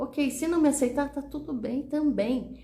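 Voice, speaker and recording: A woman at a fairly slow pace, with noticeable background noise and audible room echo. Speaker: communication coach, teacher. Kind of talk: motivational talk to online audience. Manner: conversational, repetitive fillers.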